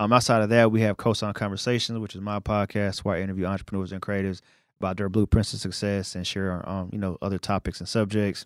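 A man with an American accent, very fast and fairly low-pitched, in a monotone, flat delivery on a very clean recording with a silent background. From New York City (Brooklyn). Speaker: media company founder. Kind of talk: casual interview. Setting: studio.

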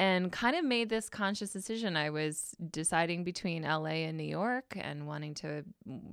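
A woman with an American accent has an ordinary speaking voice, fairly low in pitch, with ordinary pitch variation. The recording is very clean with a silent background. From Michigan. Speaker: journalist. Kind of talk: casual chat. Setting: studio.

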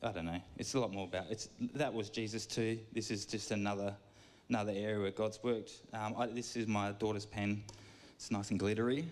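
Audible room echo around a man's fairly low-pitched voice, fairly quick in pace and fairly even in intonation. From York. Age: 30s. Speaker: church gardener giving a talk. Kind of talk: sermon. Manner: rambling, halting.

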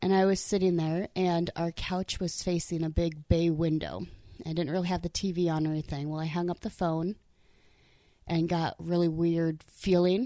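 Over a quiet background, a woman with a dark, mellow tone speaks at a moderate pace in a monotone, flat intonation. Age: 20s. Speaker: army veteran and accountant. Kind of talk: casual chat. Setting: hotel room. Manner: soft-spoken.

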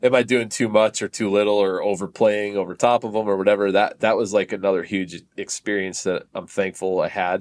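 A man with an East Coast US accent, fairly low-pitched and flat in a monotone, talking fairly quickly with hardly any pauses, in a very clean recording with a silent background. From Connecticut, US East Coast. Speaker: drummer. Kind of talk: casual chat.

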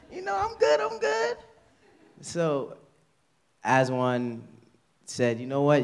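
The speaker talks at a fairly slow pace in a New York accent. Room echo is audible. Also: man. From New York (Queens). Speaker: church member giving testimony. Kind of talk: testimony. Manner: halting.

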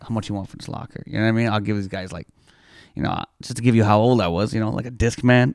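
With a Toronto accent, an animated man talks at a very fast pace in a dry, close sound with no echo, on a very clean recording with a silent background. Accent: Toronto Canadian English. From Toronto, Canada. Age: 30s. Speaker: comedian. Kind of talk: casual chat. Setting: studio.

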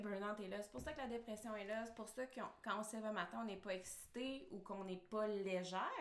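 The speaker talks at a fairly quick pace with hardly any pauses and lively intonation. Noticeable background noise runs underneath. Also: woman. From Quebec. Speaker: marketing strategist and online entrepreneur. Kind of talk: casual interview chat.

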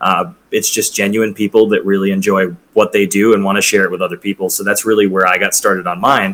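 A man rushes along at a very fast pace with hardly any pauses. His fairly low voice stays monotone and flat. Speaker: bartender and former hotel bellhop. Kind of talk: casual chat. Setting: video call.

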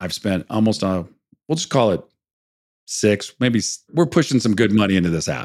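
A man's fairly low voice with very wide pitch swings, a moderate pace and long, frequent pauses, on a very clean recording with a silent background. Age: 50s. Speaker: entrepreneur and mentor. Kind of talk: casual interview.

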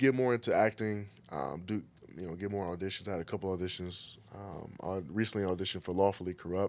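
With an American accent, a man talks at a fairly quick pace in a very deep, low voice with ordinary pitch variation. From Detroit. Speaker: personal trainer and model. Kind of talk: casual chat.

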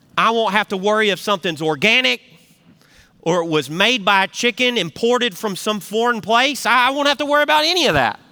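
A man's high, bright, sharp voice, raised and projected, in a Southern US accent, with very wide pitch swings, a fairly quick pace and a dry, close sound with no echo. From US South (Tennessee). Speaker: pastor. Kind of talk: sermon. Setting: church with live congregation. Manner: folksy.

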